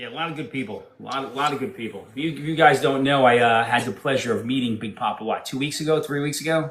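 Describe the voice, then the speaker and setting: A man with a downstate New York accent talks at a very fast pace in a fairly high pitch, with hardly any pauses. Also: ordinary pitch variation. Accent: downstate New York, harsh. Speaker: podcast guest. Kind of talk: casual chat.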